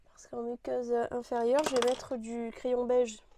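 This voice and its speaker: Soft-spoken and monotone, a woman with a high pitch talks at a moderate pace with flat intonation in a dry, close sound with no echo. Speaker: beauty youtuber. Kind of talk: makeup tutorial chat. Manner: casual, halting with fillers.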